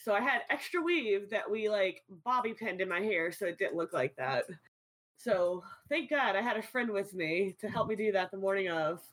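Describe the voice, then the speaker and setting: An unremarkable speaking voice talks at a moderate pace with lively intonation. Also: woman. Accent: American. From US South, New Orleans. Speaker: streamer. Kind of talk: casual chat.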